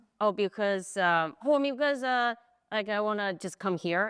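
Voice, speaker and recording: A woman with a Chinese accent talks at a fairly quick pace with lively intonation. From China, Sichuan Province. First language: Mandarin Chinese. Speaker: content creator. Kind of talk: casual interview. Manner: halting.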